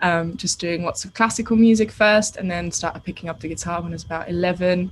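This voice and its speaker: A somewhat breathy woman at a medium pitch, with fairly even intonation, on a very clean recording with a silent background. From Austria. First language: German. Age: 20s. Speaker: singer-songwriter. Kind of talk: radio interview.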